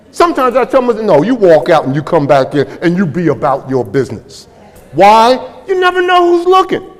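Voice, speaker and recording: Over noticeable background noise, a man with a high pitch talks at a fairly quick pace, his pitch swinging very widely. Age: 70s. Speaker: business school professor and keynote speaker. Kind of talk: fireside chat keynote talk. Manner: animated.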